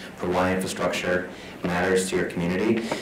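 Recorded with noticeable background noise and audible room echo, a man with an American accent speaks at a fairly quick pace. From Minnesota. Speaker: city councilman. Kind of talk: panel presentation. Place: meeting room. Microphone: podium.

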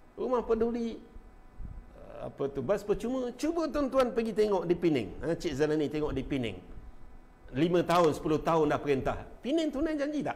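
At a moderate pace, a man speaks in a high voice with very wide pitch swings. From Malaysia. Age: 50s. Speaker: political commentator and local party figure; political commentator. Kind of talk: casual live-stream political talk. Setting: Facebook live stream. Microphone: lapel.

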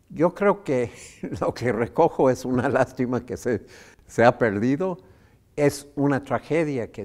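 This man speaks with lively intonation. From United States. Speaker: economist and professor; professor. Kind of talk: interview. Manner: halting with many fillers. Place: studio. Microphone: lapel.

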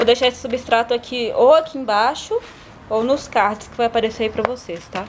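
A high-pitched woman at a moderate pace with fairly even intonation, over noticeable background noise. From Brazil. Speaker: gardening youtuber. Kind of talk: tutorial. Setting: at home. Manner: casual. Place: garden. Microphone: phone near.

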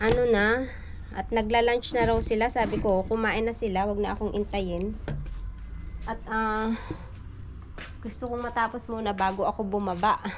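Against noticeable background noise, a woman talks at a moderate pace in a monotone, flat intonation, with long, frequent pauses. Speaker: garden vlogger. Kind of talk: casual vlog chat. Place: garden. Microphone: phone near.

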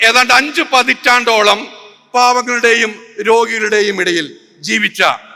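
Pitched extremely high, a man speaks in a raised, projected voice. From Kerala, India. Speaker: public speaker, religion critic. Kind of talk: public lecture. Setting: stage with audience. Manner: forceful.

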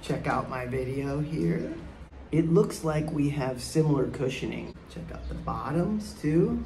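A man is speaking with music in the background. The room echo is audible. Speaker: amateur runner reviewing shoes. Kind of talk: casual vlog chat. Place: garden. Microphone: phone near.

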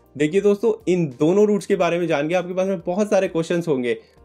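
A man speaks with faint music in the background. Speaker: travel vlogger. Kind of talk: travel guide explanation to camera. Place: home room.

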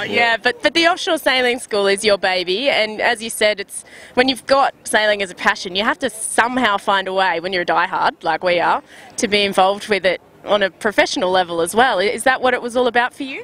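Speaking at a fairly quick pace, a woman uses lively intonation and a fairly high, bright, sharp voice, with a dry sound and no echo. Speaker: sailing video host. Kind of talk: interview questions. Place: waterside. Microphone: handheld.

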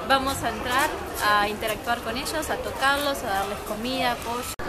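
A woman's voice with crowd noise in the background. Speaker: travel vlogger. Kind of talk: casual vlog chat. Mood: cheerful, laughing. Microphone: camera far.

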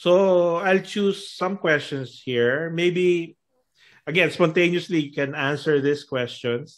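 Against a quiet background, a man speaks at a very slow pace in a high pitch. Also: ordinary pitch variation. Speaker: talk show co-host. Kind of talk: casual interview. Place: home room. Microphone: video call.

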